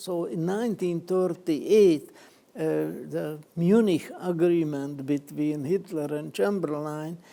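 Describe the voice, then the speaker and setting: A man with a non-native accent and fairly high pitch, ordinary pitch variation and a very slow pace. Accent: foreign. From Czechoslovakia/Hungary border, Danube region. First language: Hungarian. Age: 90s. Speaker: Holocaust survivor, columnist. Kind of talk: testimony. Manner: halting, many fillers.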